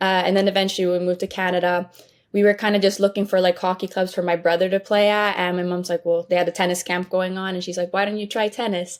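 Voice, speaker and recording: Very fast and monotone, a woman speaks at medium pitch with flat intonation. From Sweden. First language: Swedish. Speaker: college tennis player. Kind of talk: interview.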